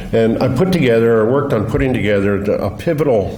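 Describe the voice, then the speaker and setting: Mumbling at a very fast pace, the speaker is heard with audible room echo and noticeable background noise. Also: man. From Colorado, US. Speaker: blacksmith and museum director. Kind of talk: conference talk. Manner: halting.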